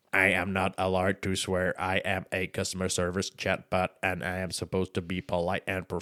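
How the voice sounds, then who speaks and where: Using a robotic, put-on character voice, a man talks very fast at a very deep, low pitch, monotone and flat, with hardly any pauses. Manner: polite, professional.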